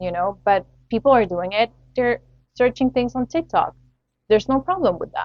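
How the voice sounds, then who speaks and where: A woman's high-pitched voice at a moderate pace, with very wide pitch swings and long, frequent pauses. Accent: Spanish. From Latin America. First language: Spanish. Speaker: podcast host. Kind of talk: solo podcast commentary.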